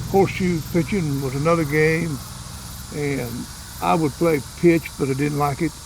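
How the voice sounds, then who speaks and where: A man with an American accent speaks at a fairly high pitch and a moderate pace, with ordinary pitch variation. Long, frequent pauses break up his speech over noticeable background noise. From Oklahoma Panhandle. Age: 80s+. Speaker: local elder giving a town tour. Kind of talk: casual interview. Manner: halting, repetitive.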